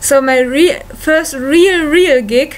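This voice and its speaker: There is noticeable background noise as a woman speaks at a very slow pace. Her pitch is high, and she has a German accent. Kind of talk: casual talk to camera. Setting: home recording, low-quality equipment.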